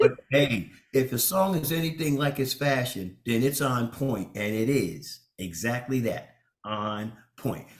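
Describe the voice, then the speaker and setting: Here a man has a normal speaking voice at a medium pitch. He talks at a fairly slow pace with lively intonation. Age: 60s. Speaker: bishop and radio co-host. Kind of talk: casual chat.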